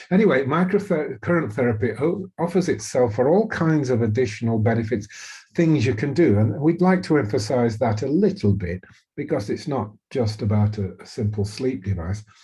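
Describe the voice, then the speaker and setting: A man's dark, mellow, somewhat breathy voice of medium pitch in a British accent, with very wide pitch swings. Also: moderate pace, quiet background. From Britain. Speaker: physician and webinar host. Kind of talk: webinar presentation. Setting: recorded webinar. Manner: halting, many fillers.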